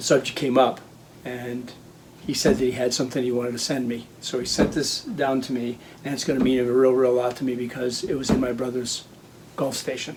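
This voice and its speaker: A man with a medium pitch talks at a fairly quick pace in a monotone, flat intonation. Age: 60s. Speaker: hobby farm and restoration video maker. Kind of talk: casual personal narration to camera. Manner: hesitant, with many fillers.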